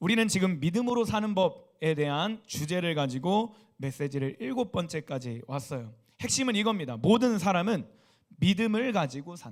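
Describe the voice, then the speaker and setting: Pitched high, this man speaks at a moderate pace while his voice makes very wide pitch swings. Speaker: youth pastor. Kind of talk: sermon. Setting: church service. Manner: soft-spoken.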